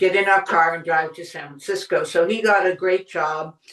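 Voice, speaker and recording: In an American accent, a woman speaks at a moderate pace and medium pitch with ordinary pitch variation, a plain, everyday voice. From US Northeast, Boston suburbs. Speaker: podcast host and wellness writer. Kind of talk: interview conversation.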